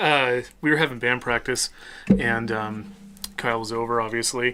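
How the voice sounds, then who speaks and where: The speaker has a Midwestern accent. The pace is moderate. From US Midwest. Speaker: podcast co-host and band musician. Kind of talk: casual chat.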